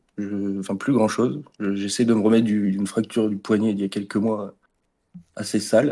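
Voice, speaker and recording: A man's fairly low voice comes through a very clean recording with a silent background. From northern France, Pas-de-Calais. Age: 20s. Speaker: football club social media manager, fan. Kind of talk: casual interview podcast. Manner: fast, not very articulate.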